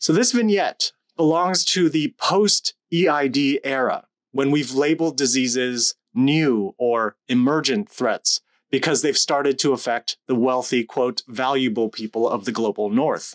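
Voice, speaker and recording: Against a quiet background, a man speaks at a fairly slow pace. His intonation is lively. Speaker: lecturer. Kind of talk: lecture. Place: home room. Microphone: studio mic.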